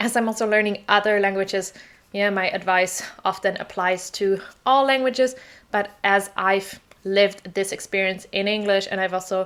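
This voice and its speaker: With a German accent, a woman speaks at a moderate pace and medium pitch, her intonation fairly even. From southern Germany, small village. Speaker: English teacher. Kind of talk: personal story vlog.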